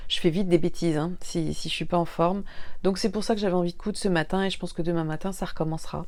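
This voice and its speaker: In a room with audible echo, a woman speaks at a fairly low pitch with a dark, mellow tone and monotone, flat intonation. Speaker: sewing YouTuber. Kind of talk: casual vlog monologue. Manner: hesitant with fillers.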